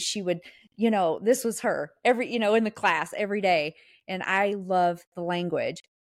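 In a very clean recording with a silent background, a woman with a Southern US accent speaks at a moderate pace, her medium pitch showing ordinary variation. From US South. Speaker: podcast co-host. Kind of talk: casual chat, podcast.

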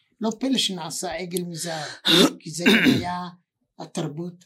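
At a very slow pace, a man speaks in a high pitch. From Israel, Ashkelon. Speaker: podcast co-host. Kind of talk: casual chat. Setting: studio. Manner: excitable.

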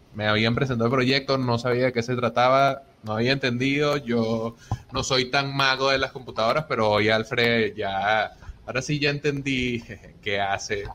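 A man talks at a moderate pace in a medium pitch, his intonation fairly even. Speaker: Bitcoin community organizer and host. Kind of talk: interview.

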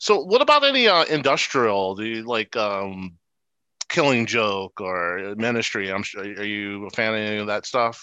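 A man with an American accent speaks at a fairly slow pace in a fairly low pitch, his tone bright and sharp against a quiet background. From US East Coast. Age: 40s. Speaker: podcast host. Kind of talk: casual chat.

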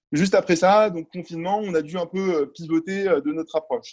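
The sound is dry and close with no echo. A man talks at a moderate pace with ordinary pitch variation. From France, partly raised in Algeria, US and Middle East. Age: 20s. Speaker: tech startup CEO. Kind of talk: interview. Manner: hesitant, many fillers.

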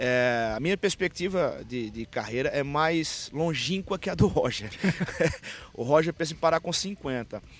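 A man speaks in a plain, everyday voice at a fairly slow pace. His pitch is fairly high and his intonation lively. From Pernambuco, Brazil (Caruaru). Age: 30s. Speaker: football coach. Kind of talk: interview.

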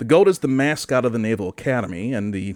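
With an animated tone, a man speaks at medium pitch and a moderate pace with ordinary pitch variation, in a very clean recording with a silent background. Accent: Michigan. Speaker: podcast host. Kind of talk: casual comedic banter about weird news. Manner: joking, animated.

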